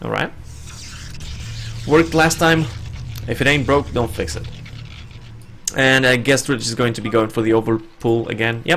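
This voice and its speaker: A man of medium pitch with a non-native accent, ordinary pitch variation and long, frequent pauses, over music in the background. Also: moderate pace. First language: not English. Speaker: esports caster. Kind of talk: live commentary.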